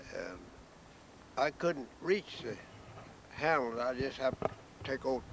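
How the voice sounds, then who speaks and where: In a rural Southern US accent, a man talks at a fairly slow pace. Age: 80s+. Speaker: farmer. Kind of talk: oral history interview.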